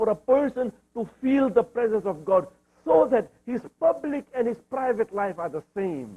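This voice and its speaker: In a dry, close sound with no echo, a man with an East African accent speaks at a moderate pace, his dark, mellow tone carried by lively intonation. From Zanzibar, Tanzania, East Africa. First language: Swahili. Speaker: Islamic scholar and lecturer. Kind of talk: religious lecture.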